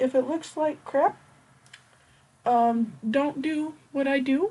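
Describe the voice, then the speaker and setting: High-pitched woman with an American accent and ordinary pitch variation. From US Midwest. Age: 20s. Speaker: beauty vlogger. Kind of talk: casual tutorial vlog.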